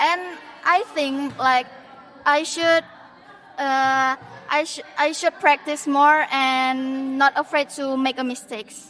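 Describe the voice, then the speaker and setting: Speaking very slowly with long, frequent pauses, a woman with a non-native accent uses a high-pitched, bright and sharp voice and fairly even intonation. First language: not English. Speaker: university student. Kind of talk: class podcast discussion. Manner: halting.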